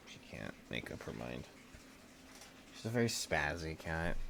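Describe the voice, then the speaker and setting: A man talks at a moderate pace with very wide pitch swings and big swings in loudness. Noticeable background noise is present. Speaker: gaming streamer. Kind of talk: live gameplay stream chat. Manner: casual, rambling.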